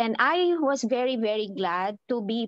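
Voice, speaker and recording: In a Filipino accent, a woman with a fairly high pitch speaks against a quiet background, in a dry, close sound with no echo. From Philippines. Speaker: church lawyer. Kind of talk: casual sharing in online meeting. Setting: video call, camera off.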